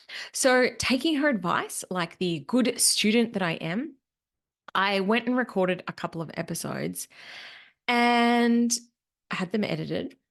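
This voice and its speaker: A woman with a Queensland accent speaks at a fairly slow pace with long, frequent pauses. Her pitch is fairly high, her intonation is lively, and the background is quiet. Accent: Australian, Queensland. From Australia, Queensland. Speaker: podcast host, business money mentor. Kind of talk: solo podcast reflection.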